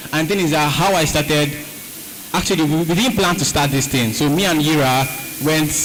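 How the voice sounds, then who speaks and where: A man speaks fairly quickly at a fairly high pitch with ordinary pitch variation and very even loudness. Noticeable background noise and audible room echo are present. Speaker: content creator. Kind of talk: panel discussion. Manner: fast.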